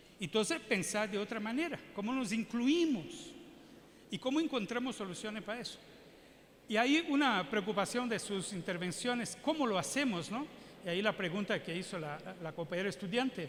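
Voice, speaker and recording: This man has a high pitch and lively intonation. He keeps a moderate pace. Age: 60s. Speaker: public health physician and adviser. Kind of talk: keynote lecture Q&A. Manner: halting, with repetitions.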